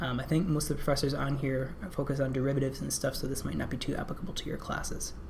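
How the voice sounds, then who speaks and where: In a room with audible echo and noticeable background noise, a woman with a very deep, low pitch talks very fast with hardly any pauses and fairly even intonation. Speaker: company product presenter. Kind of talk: webinar presentation with Q&A. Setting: online webinar. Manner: many filler words (um, uh).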